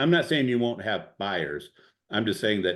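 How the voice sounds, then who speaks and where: With a strong Cleveland accent, a man talks using ordinary pitch variation. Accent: strong Midwest Cleveland. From Ohio, US Midwest. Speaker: real estate investor. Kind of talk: masterclass Q&A on video call. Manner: casual, animated, many fillers.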